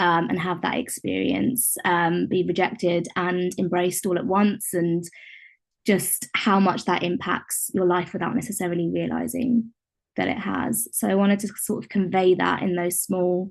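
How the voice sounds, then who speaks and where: A woman speaks at a moderate pace in a British accent, her pitch medium with ordinary variation. Vocal fry runs through her voice. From UK. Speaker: contributing poet. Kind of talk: author talk about own poem. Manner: halting, many fillers.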